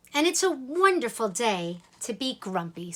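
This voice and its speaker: Using a put-on character voice, a woman speaks at a moderate pace with a fairly high pitch that swings very widely. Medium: read story.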